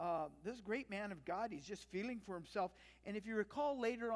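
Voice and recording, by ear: Natural-voiced reading aloud, its pitch rising and falling in an ordinary way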